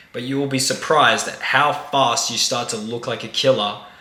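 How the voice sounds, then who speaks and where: Over noticeable background noise and audible room echo, a man of medium pitch speaks at a moderate pace with ordinary pitch variation. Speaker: dating coach. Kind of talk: tutorial.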